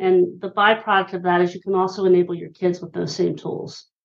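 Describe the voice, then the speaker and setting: Here a woman talks with an American accent. Her pitch is medium. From Pennsylvania (Hershey). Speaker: author and listening expert. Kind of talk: interview.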